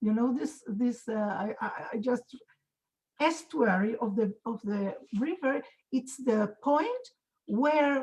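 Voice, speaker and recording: A woman with a high voice and a non-native accent speaks at a fairly slow pace with lively intonation. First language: not English. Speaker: Torah teacher, conference panelist. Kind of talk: panel discussion. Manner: halting, many repetitions and fillers.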